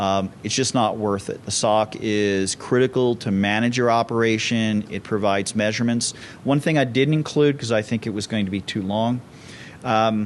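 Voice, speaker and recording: A man speaks at a moderate pace in an ordinary speaking voice. His pitch sits in the medium range. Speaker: conference speaker, security company CEO. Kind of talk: conference talk.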